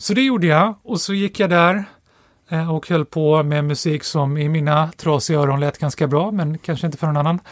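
A man with a normal speaking voice talks at a moderate pace in a fairly high pitch, with ordinary pitch variation. The sound is dry and close, with no echo. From Stockholm, Sweden. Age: 40s. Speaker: economics professor and author. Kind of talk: casual interview.

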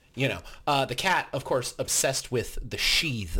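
A plain, everyday voice speaks at a moderate pace. The recording is very clean with a silent background. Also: man. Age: 20s. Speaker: podcast co-host. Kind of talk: casual chat.

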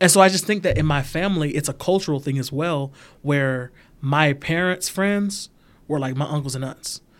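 A man with an American accent and an unremarkable speaking voice talks at a moderate pace with a fairly high pitch and ordinary pitch variation, on a very clean recording with a silent background. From US South, Georgia. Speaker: banker. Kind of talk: casual chat.

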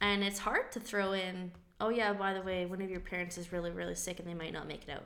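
A woman's very fast, monotone, flat speech, with audible room echo and noticeable background noise. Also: medium pitch for a woman. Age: 20s. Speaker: electrical apprentice, daughter of transplant patient. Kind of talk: casual chat.

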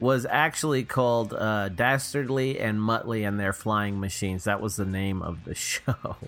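With music in the background, a man of fairly low pitch speaks at a moderate pace, hardly pausing, with ordinary pitch variation. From Texas, Houston area. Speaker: podcast co-host. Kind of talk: casual chat.

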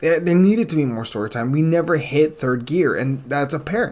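A man with a normal speaking voice keeps a moderate pace and varies his pitch an ordinary amount. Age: 20s. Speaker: podcast host, film reviewer. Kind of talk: solo review monologue. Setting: home recording, new setup. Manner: casual with frequent fillers. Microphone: new recording equipment.

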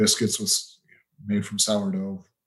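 A man speaks in a western US accent. His pitch is fairly low, with ordinary variation. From Utah, US. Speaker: temperature metrologist. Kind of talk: interview.

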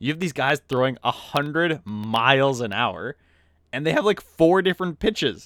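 A man with a fairly high pitch and lively intonation speaks at a moderate pace, with an unremarkable speaking voice. The recording is very clean, with a silent background. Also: dry, close sound with no echo. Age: 20s. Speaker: hockey podcast co-host. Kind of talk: casual chat. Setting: recorded in person together.

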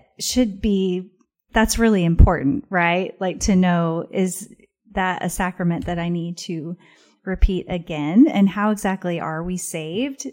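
With an American accent and a plain, everyday voice, a woman at medium pitch talks fairly slowly while her loudness swings widely. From Missouri, US Midwest. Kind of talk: casual interview conversation.

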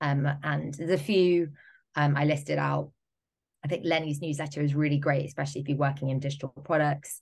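Against a quiet background, a woman with a British accent speaks at a fairly quick pace in a very deep, low, somewhat breathy voice with monotone, flat intonation. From Britain. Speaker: digital product and marketing specialist. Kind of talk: interview.

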